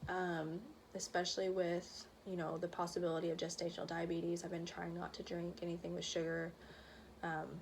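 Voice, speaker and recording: Speaking at a fairly quick pace, a woman uses a fairly low pitch and a monotone, flat intonation. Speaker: vlogger. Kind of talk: casual chat. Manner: fast.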